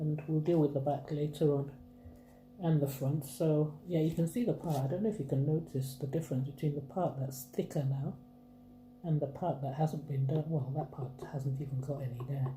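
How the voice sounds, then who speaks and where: Long, frequent pauses break up speech with fairly even intonation. Music sits in the background, and room echo is audible. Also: woman. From Nigeria (Akwa Ibom State, Ibibio). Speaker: craft vlogger. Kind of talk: tutorial. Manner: chatty, informal.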